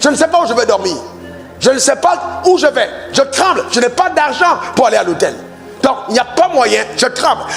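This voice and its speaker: With music in the background, a man with an extremely high pitch speaks in an animated tone at a moderate pace, with long, frequent pauses and very even loudness. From Cameroon. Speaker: pastor. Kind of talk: sermon.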